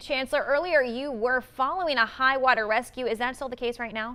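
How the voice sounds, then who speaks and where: Her voice raised and projected, a woman talks at a fairly quick pace with a high pitch, a bright, sharp tone and fairly even intonation. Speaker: television news anchor and reporter. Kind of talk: TV news anchor delivery.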